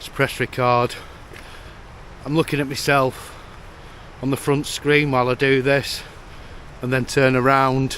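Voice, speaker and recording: Over noticeable background noise, a man with a British accent speaks at a fairly slow pace and medium pitch in a flat monotone, leaving long, frequent pauses. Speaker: tech reviewer. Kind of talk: vlog-style product review. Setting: outdoors. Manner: loud.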